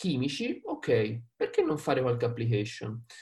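Somewhat breathy, a man speaks in a Tuscan accent. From Tuscany, Prato. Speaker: sales engineer. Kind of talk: webinar talk. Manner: animated.

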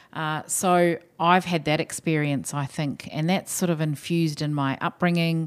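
A woman's very deep, low voice in a New Zealand accent, with fairly even intonation, on a very clean recording with a silent background. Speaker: hospital chief executive. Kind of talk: casual interview.

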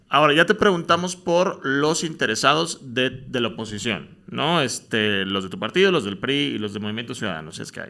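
A man talks at a fairly quick pace with hardly any pauses, his medium-pitched voice bright and sharp in tone, with vocal fry, very wide pitch swings and big swings in loudness. The recording is very clean, with a silent background. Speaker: podcast host. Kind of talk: casual interview. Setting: studio. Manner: halting.

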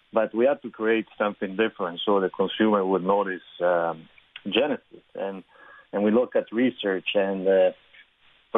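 Here a man talks in an ordinary speaking voice with a fairly low pitch. His pace is moderate and his intonation fairly even. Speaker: car brand executive. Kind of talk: radio interview.

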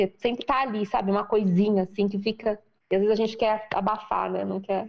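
With a São Paulo accent, a woman speaks at a moderate pace in a fairly high pitch. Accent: Brazilian Portuguese, paulistano. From Brazil, São Paulo (periphery, Freguesia do Ó). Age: 40s. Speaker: businesswoman and women's career mentor. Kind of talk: interview conversation.

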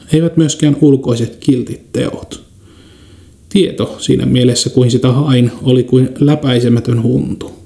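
The man has an ordinary speaking voice at a medium pitch, with fairly even intonation. His pace is fairly slow and his loudness very even. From Kainuu, northern Finland. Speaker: podcast host. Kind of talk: scripted narration. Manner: formal.

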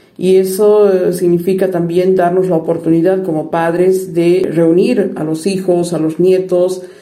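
Very slowly and in a monotone, flat way, a woman speaks in a fairly low pitch amid audible room echo. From Bolivia, La Paz. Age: 50s. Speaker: interviewee. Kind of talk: interview.

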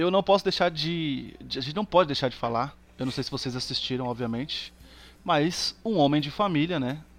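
A man talks in a plain, everyday voice at a fairly high pitch. He keeps a moderate pace with ordinary pitch variation. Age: 30s. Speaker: podcast guest. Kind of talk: casual chat.

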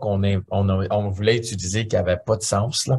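A somewhat breathy voice is heard. It belongs to a man. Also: quiet background. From Ontario, Canada (Franco-Ontarian). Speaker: musician. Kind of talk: interview.

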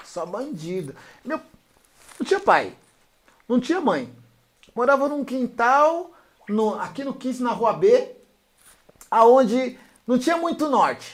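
Using an extremely high pitch and lively intonation, a man speaks at a very slow pace with long, frequent pauses. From São Paulo, Brazil. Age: 50s. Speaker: DJ and rapper. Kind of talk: casual interview.

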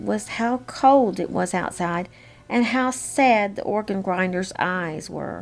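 The clip is plain reading aloud. It stays that way throughout.

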